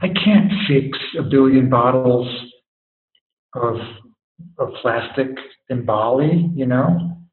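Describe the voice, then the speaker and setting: With long, frequent pauses, a man speaks at a very slow pace amid audible room echo. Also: medium pitch for a man, ordinary pitch variation. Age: 50s. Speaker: guest sharing life experience. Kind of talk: casual interview conversation.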